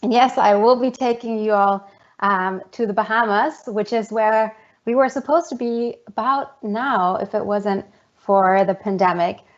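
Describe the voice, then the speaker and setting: A woman speaks with a German accent at a fairly high pitch. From Germany, Munich. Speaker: geoscience professor. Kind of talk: online presentation.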